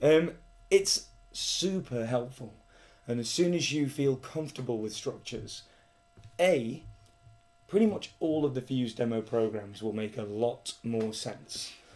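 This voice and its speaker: A man with a British accent, medium in pitch, with lively intonation, a fairly slow pace and long, frequent pauses. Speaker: coding tutorial presenter. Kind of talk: tutorial. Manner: casual.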